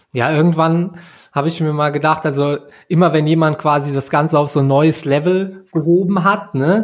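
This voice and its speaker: A man speaks in an unremarkable speaking voice, fairly high in pitch, at a moderate pace with fairly even intonation. The recording is very clean, with a silent background. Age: 30s. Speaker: podcast host, triathlete. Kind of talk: casual interview.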